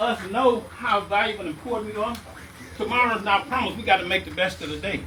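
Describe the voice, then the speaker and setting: A man projects a raised voice at a high pitch. Noticeable background noise is present. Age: 60s. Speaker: community speaker. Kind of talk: testimony.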